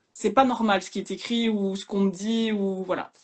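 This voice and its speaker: A somewhat breathy woman with a Liège accent, medium in pitch, monotone and flat, at a fairly quick pace. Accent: Liège Belgian French. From Belgium, Liège area. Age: young. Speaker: podcaster and social media creator. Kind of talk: casual interview chat. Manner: hesitant, many fillers.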